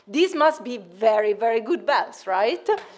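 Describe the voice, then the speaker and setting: In an Italian accent, a woman speaks at a moderate pace with lively intonation. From Italy. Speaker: researcher. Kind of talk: conference presentation. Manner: hesitant, many fillers.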